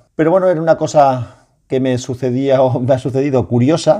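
Dark, mellow tone from a man at a moderate pace, over a quiet background. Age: 40s. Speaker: podcaster. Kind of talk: solo monologue podcast.

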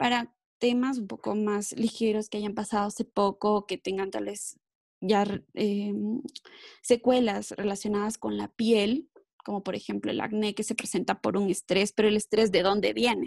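A woman's medium-pitched voice, flat and monotone, in a dry, close recording with no echo. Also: moderate pace. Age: 30s. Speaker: wellness specialist. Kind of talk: interview. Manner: filler-heavy.

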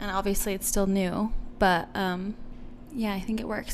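Monotone, flat intonation from a woman at medium pitch and a fairly quick pace, with audible room echo. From Guam. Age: 20s. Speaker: business owner and model. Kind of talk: casual interview chat.

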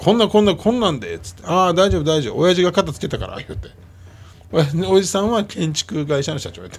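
In a Kansai accent, a man talks at a very fast pace, his pitch high with ordinary variation and his loudness swinging widely. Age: 50s. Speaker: radio host. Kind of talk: casual chat.

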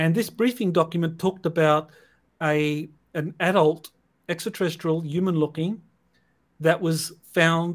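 Fairly high in pitch, this man keeps his intonation fairly even. His pace is fairly slow. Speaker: podcast host. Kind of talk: interview. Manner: halting, many fillers.

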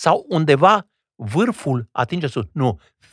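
Vocal fry and very wide pitch swings in a dry, close sound with no echo. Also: man. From Old Kingdom Romania (Regat). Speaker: stage and film actor. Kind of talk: interview conversation. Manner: academic, formal.

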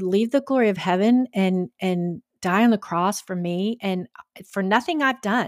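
A woman with an American accent and a medium pitch speaks at a fairly slow pace with lively intonation, in a dry, close sound with no echo on a very clean recording with a silent background. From Georgia, US South. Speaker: podcast host. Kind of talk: casual interview. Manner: halting, many fillers.

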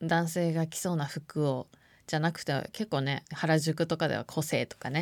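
In a very clean recording with a silent background, a woman with a very deep, low pitch speaks at a moderate pace in a monotone, flat intonation. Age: 30s. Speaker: podcast host. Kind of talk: casual monologue.

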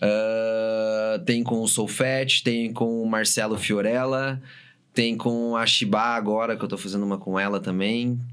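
A man talks at a very slow pace, with audible room echo around him. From Brazil, Paraná (São José dos Pinhais). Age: 30s. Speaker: DJ and music producer. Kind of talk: casual chat.

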